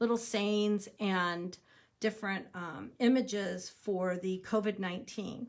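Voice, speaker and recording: Using a medium pitch with ordinary variation, a woman speaks at a fairly slow pace. The recording is very clean, with a silent background. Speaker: crafting demonstrator. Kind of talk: live video tutorial. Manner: animated.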